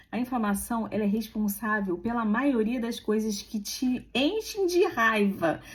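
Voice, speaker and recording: Lively intonation from a woman speaking at a fairly slow pace. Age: 40s. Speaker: health and aesthetics content creator. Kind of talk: casual informative vlog talk. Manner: conversational, informal.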